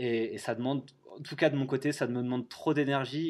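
Against a quiet background, a man speaks at a fairly quick pace. His intonation stays fairly even. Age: 30s. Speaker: travel blogger and author. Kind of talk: interview. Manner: halting, many fillers and repetitions.

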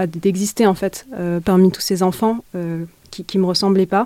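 A woman's medium-pitched voice in a dark, mellow tone at a fairly slow pace. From France, Essonne. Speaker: activist. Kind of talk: interview. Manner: halting.

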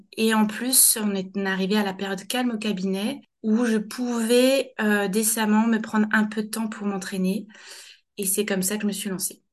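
Somewhat breathy and fairly high, a woman's voice moves at a moderate pace in a flat monotone. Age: 30s. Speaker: general practitioner. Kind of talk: interview testimony. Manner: halting.

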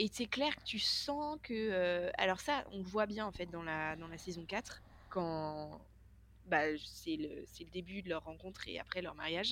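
Her pace very slow, a woman with a medium-pitched voice uses lively intonation and big swings in loudness. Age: 40s. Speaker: podcast co-host. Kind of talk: casual chat. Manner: halting.

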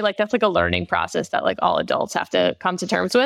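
Talking very fast with vocal fry in an American accent, the speaker sounds dry and close with no echo. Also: woman. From Long Island, New York. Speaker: nonprofit marketing director. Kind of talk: interview. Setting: call.

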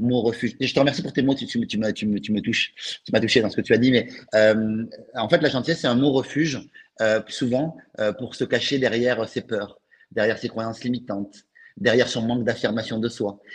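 Speaking at a fairly quick pace, a man with a southern French accent uses a medium pitch. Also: ordinary pitch variation. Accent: French, Toulouse southern. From Toulouse, southern France. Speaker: author and sales coach. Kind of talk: casual interview chat. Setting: live stream.

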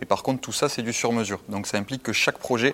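This man's voice has a fairly low pitch. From southern France (Castelnaudary, Aude). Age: 20s. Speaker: company co-founder. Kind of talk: interview. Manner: halting, repeats words.

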